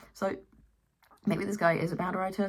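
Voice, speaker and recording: A woman with a non-native accent. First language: not English. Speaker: commentary YouTuber. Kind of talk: casual commentary to camera.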